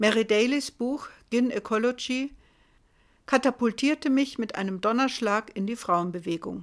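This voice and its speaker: A woman with a plain, everyday voice speaks at a fairly high pitch with ordinary pitch variation. The recording is very clean, the background silent. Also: moderate pace. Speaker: podcast host. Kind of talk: scripted narration.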